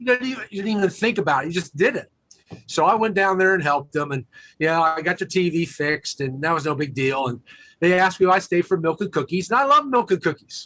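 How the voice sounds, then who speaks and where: Speaking at a very fast pace, a man uses a high pitch. His intonation is lively. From US Midwest / Virginia small towns. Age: 60s. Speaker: motivational speaker and author. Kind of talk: interview storytelling.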